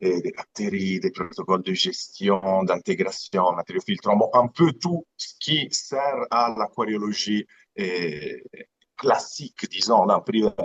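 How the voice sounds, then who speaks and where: A man's very slow speech with an Italian accent and a dry, close sound with no echo. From Italy, Aeolian Islands (Sicily). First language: Italian (speaking French). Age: 30s. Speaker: aquarium business founder. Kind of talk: live interview presentation. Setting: live stream. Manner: halting, repeats words.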